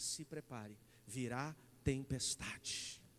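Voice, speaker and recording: A man's animated voice with ordinary pitch variation. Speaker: pastor. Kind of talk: sermon. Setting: church.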